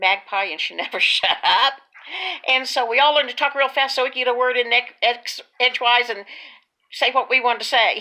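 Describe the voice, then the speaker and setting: A woman with an American accent and a fairly high pitch. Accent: Texas drawl, stronger when speaking slowly. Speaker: video blogger.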